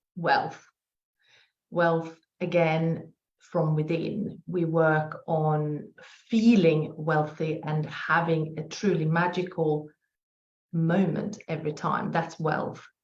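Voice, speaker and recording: Somewhat breathy and fairly low in pitch, a woman with a slight Swedish accent talks at a very slow pace with fairly even intonation and long, frequent pauses. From Sweden. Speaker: spiritual business coach. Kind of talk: podcast interview.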